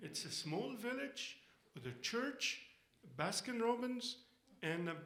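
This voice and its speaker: A man with an Arabic accent speaks at a fairly slow pace. His pitch swings very widely, and room echo is audible. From Egypt. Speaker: storyteller. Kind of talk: stage storytelling. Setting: stage with audience.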